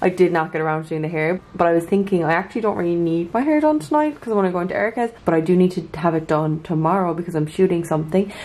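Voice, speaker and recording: With an Irish accent, a woman talks at a very fast pace and a fairly low pitch, with fairly even intonation and hardly any pauses. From Ireland. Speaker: lifestyle vlogger; vlogger. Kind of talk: casual vlog talk to camera; sponsored product segment. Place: home room.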